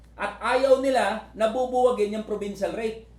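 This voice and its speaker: Noticeable background noise sits behind the voice. The tone is animated and the pace fairly quick. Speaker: labor union leader and livestreamer. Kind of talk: rally speech. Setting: live stream on social media. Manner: fiery, emphatic, rallying the crowd with direct appeals; animated, repetitive, punchy.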